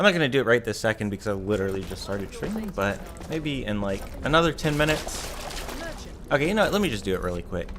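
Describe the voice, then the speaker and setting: A man speaks very fast at a medium pitch. His pitch swings very widely, with noticeable background noise behind him. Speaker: gaming streamer. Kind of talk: gameplay commentary. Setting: live stream. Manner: casual, rambling.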